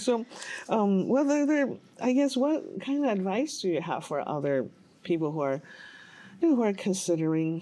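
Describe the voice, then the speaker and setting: A woman's dark, mellow voice with very wide pitch swings at a moderate pace, against a quiet background. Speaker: TV interview host. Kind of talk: interview question.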